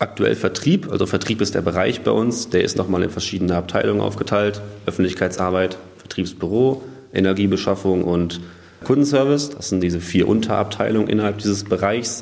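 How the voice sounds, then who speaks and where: Noticeable background noise sits behind a man speaking at a fairly quick pace. His voice is fairly low with ordinary pitch variation. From Germany, northern Hesse (Waldeck-Frankenberg). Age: 20s. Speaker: industrial clerk apprentice. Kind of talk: interview.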